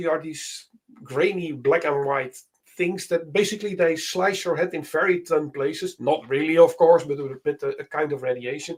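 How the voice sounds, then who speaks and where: Talking at a moderate pace, a man with a Dutch accent has a high pitch. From Netherlands. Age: 50s. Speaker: software developer. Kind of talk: casual tech demo chat. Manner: halting, many fillers.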